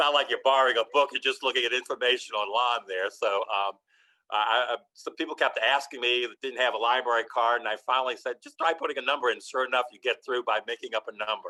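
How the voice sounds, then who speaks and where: A man with a New Orleans accent, talking at a very fast pace. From New Orleans, French Quarter. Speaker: architectural historian. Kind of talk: lecture Q&A. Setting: video call.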